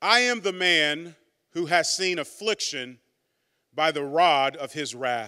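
A man speaks very slowly in a high voice with a warm tone and lively intonation. The background stays quiet. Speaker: pastor. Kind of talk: sermon. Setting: church. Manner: warm, earnest, conversational preacher. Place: church. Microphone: handheld.

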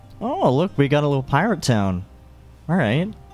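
Over background music, a man talks at a moderate pace with very wide swings in pitch. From Nova Scotia, Canada. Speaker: gamer, let's player. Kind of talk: casual gameplay commentary. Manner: casual, hesitant, rambling.

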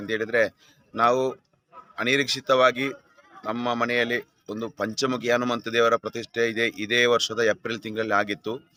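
Flat, monotone intonation from a man at medium pitch, dry and close with no echo. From Dakshina Kannada, Karnataka (Puttur). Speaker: priest training camp participant. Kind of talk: interview testimonial.

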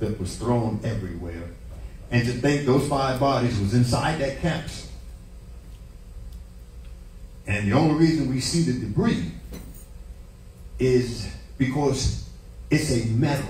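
A man talks at a fairly slow pace with lively intonation, vocal fry, and long, frequent pauses. Audible room echo and light background noise surround him. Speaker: preacher. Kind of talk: sermon. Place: church.

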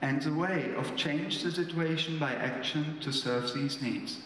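At a fairly slow pace, a man speaks with ordinary pitch variation amid audible room echo and light background noise. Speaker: speaker. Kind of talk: lecture. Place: stage. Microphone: podium.

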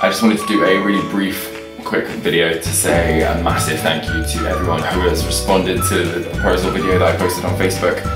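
With loud music in the background and audible room echo, a man talks at a very fast pace. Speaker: vlogger. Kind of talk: casual talk to camera. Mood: grateful, happy. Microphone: webcam.

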